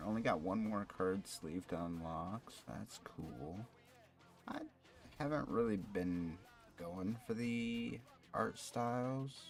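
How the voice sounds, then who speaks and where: Over music in the background, a man with a fairly low voice speaks quietly and very slowly in a relaxed tone, his intonation lively and his pauses long and frequent. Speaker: gaming streamer. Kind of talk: casual chat. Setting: live stream. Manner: quiet talker.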